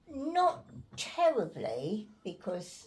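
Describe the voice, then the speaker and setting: A woman with a London accent speaks with ordinary pitch variation. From Islington, North London. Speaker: war evacuee. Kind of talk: interview answer.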